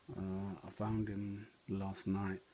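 A man's dark, mellow tone, fairly low in pitch and monotone in its flat intonation, with light background noise. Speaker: gamer. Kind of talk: casual vlog chat. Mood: mildly disappointed. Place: home room.

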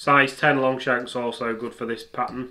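In a bright, sharp tone, a man speaks at a fairly slow pace with monotone, flat intonation against a quiet background. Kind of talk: tutorial.

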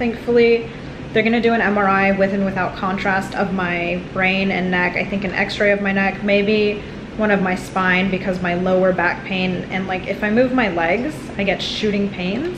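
Over noticeable background noise, the speaker talks at a moderate pace in a monotone, flat way. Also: woman. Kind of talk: casual vlog chat. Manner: weary, pained patient voice. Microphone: phone near.

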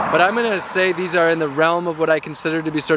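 A man talks in a fairly high voice while clear background noise runs underneath. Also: dry sound with no echo. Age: 30s. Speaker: activist and vlogger on a long-distance walk. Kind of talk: casual vlog monologue. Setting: outdoors by the side of the road. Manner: laughing, relaxed and candid. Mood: earnest, reflective. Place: street. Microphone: phone near.

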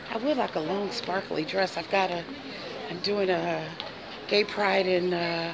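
Over crowd noise in the background, a woman talks at a fairly slow pace with ordinary pitch variation. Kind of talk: casual vlog chat. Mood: playful, laughing. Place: shop. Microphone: phone near.

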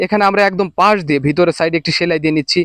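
Speaking with a Bangladeshi accent, a man has a high pitch. The sound is dry and close with no echo, against a quiet background. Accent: Bangladeshi Bengali. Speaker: sewing tutorial presenter. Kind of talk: tutorial. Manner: instructional, repetitive, formal.

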